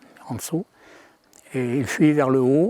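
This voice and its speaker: Recorded with a dry, close sound and no echo, a man speaks at a fairly high pitch in a dark, mellow tone. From France, Savoie (Maurienne valley). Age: 80s+. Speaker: local witness, elderly villager. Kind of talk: interview testimony.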